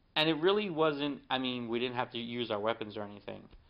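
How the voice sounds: A man talks fast in a medium-pitched voice. His pitch varies in an ordinary way.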